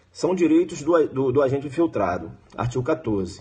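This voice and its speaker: A man talks at a fairly quick pace and medium pitch. His dark, mellow tone carries vocal fry. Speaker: law exam prep teacher. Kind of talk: live-streamed exam review lecture. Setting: live stream. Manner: fast; animated.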